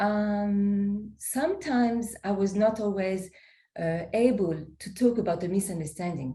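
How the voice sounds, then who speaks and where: A woman's somewhat breathy, dark, mellow voice at a medium pitch and fairly slow pace, with a non-native accent. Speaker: poet and co-author. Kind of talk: interview conversation. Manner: halting.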